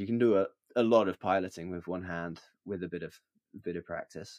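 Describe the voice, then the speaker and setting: A man with a British accent at a moderate pace, on a very clean recording with a silent background and a dry, close sound with no echo. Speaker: filmmaker and paraglider pilot. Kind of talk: podcast interview.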